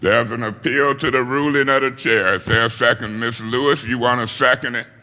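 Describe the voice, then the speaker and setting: A man speaks loudly at a medium pitch, with a bright, sharp tone. His intonation is fairly even and his pace fairly quick. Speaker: city council president. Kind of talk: council meeting debate. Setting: city council chamber.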